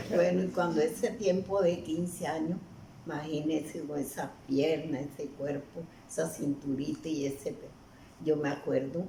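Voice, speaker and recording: A woman's very deep, low voice with ordinary pitch variation, a fairly slow pace, and audible room echo. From Colombian Caribbean coast, Aracataca, Magdalena. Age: 90s. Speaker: elderly storyteller. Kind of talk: interview. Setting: at her home.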